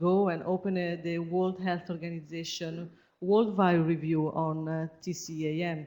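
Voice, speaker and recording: Her tone dark and mellow, a woman with an Italian accent speaks at a fairly slow pace and fairly low pitch in a monotone, flat intonation. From Italy. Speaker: researcher. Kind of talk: seminar presentation. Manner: halting.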